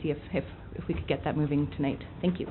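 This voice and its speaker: Audible room echo surrounds a woman speaking at a very fast pace with ordinary pitch variation. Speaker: education committee coordinator. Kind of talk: public comment.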